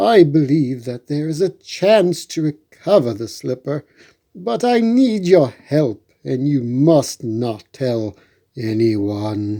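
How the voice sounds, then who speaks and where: Using a put-on character voice, a man talks at a very slow pace with very wide pitch swings at a medium pitch, in a very clean recording with a silent background. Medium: read story.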